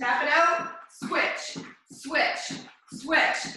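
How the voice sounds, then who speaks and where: A woman speaks in a raised, projected voice. Strong room echo fills the recording. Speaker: fitness instructor. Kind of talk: workout coaching cues. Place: gym. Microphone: camera far.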